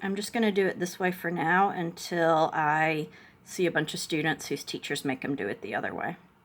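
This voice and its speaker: A woman's fairly low voice with ordinary pitch variation, at a fairly quick pace. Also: very clean recording, silent background. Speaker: chemistry tutor. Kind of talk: tutorial.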